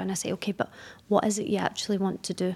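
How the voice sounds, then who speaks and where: The speaker is a woman. She talks with a Glaswegian accent. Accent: Glaswegian Scottish. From Scotland, Glasgow. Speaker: business setup advisor. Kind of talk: interview.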